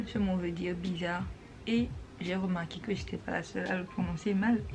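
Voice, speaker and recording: Speech comes at a moderate pace. Noticeable background noise and audible room echo are present. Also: woman. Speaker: vlogger. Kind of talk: tutorial. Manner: casual, mixing French and English.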